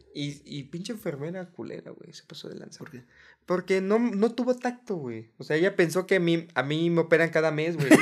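A man talks at a fairly quick pace with a high pitch. His loudness swings widely. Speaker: podcast co-host. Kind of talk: casual chat.

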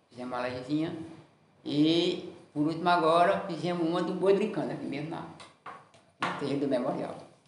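A man with a fairly high pitch and ordinary pitch variation speaks with long, frequent pauses. Audible room echo and noticeable background noise fill the recording. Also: fairly quick pace. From Ceará, Brazil (Limoeiro do Norte). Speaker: folk tradition master. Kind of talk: interview. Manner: halting.

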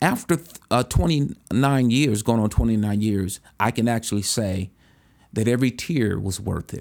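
A man with a plain, everyday voice at medium pitch, moderate pace and ordinary pitch variation, in a very clean recording with a silent background. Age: 50s. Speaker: bishop and podcast host. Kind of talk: motivational sermon-style monologue.

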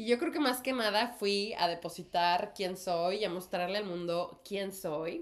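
Over noticeable background noise, a woman talks at a fairly slow pace with hardly any pauses and ordinary pitch variation. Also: medium pitch for a woman. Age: 30s. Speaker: actress and podcast co-host. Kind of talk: casual chat.

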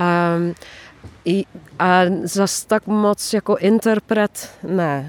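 With a Dutch accent, a woman speaks very slowly at a medium pitch, her intonation fairly even, with long, frequent pauses and a dry, close sound with no echo. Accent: Dutch accent when speaking Czech. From Netherlands. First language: Dutch (speaking Polish). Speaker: singer-songwriter, former music teacher. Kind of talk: interview.

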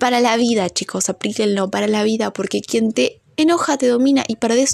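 With ordinary pitch variation, a woman's voice sits at a fairly high pitch. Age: 20s. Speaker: podcaster and biochemistry student. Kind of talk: casual monologue. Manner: halting, many fillers.

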